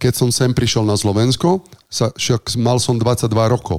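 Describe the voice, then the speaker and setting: A man with an Italian accent and ordinary pitch variation. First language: Italian (speaking Slovak). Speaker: chef and restaurateur. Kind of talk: casual interview.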